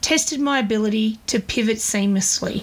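Against noticeable background noise, a woman talks in a fairly high voice. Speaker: podcast host, small business owner. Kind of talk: scripted monologue. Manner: fluent, talkative.

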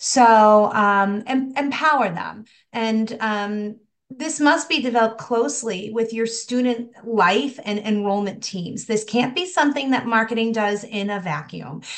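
Speaking at a fairly slow pace, a woman uses a normal speaking voice pitched fairly high. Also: ordinary pitch variation. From rural Massachusetts, US. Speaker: higher education marketing consultant. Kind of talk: podcast interview.

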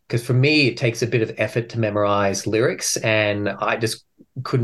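On a very clean recording with a silent background, a man with an Australian accent speaks in a fairly low pitch with fairly even intonation. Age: 40s. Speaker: metal band frontman. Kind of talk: interview.

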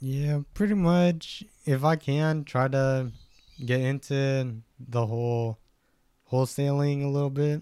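A man's fairly high, dark and mellow voice with an American accent, at a fairly slow pace with long, frequent pauses, very even loudness, and ordinary pitch variation. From Stockton, California. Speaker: photographer and real estate student. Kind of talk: casual chat.

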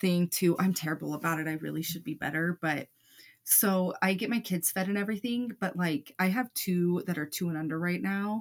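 Dry and close with no echo, a woman's fairly low voice in an American accent moves at a moderate pace with ordinary pitch variation. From Montana. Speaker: true crime podcast co-host. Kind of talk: casual chat. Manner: loud, animated.

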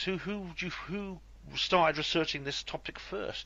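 A man with a high-pitched voice speaks at a moderate pace in a Welsh accent. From West Wales. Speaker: podcast host. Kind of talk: interview. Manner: hesitant.

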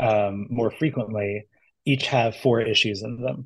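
Somewhat breathy, a man talks at a very slow pace. His medium pitch shows ordinary variation. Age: 30s. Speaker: comic book writer. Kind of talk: casual chat.

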